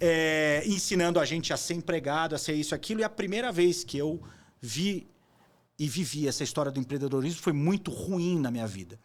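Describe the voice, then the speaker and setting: With a plain, everyday voice, a man talks at a fairly quick pace in a fairly high pitch and lively intonation, on a very clean recording with a silent background. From Brazil. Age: 40s. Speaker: entrepreneur and investor. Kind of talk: interview conversation. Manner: casual, with fillers and repetitions.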